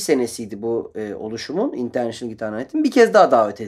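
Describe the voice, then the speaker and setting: A man talks with very wide pitch swings. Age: 40s. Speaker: guitarist. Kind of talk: radio interview. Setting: radio studio.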